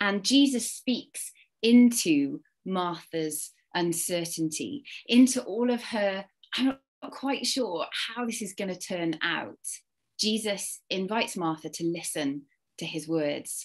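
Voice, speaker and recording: A woman at a very slow pace, medium in pitch, with very wide pitch swings. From Wales, Cardiff. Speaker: church speaker. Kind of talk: sermon talk.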